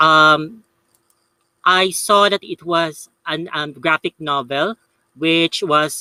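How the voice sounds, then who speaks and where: A man talks in a fairly high voice. The sound is dry and close, with no echo. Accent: Filipino. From Philippines. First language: Tagalog. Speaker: YouTuber, paranormal channel host. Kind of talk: live review. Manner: halting, many fillers.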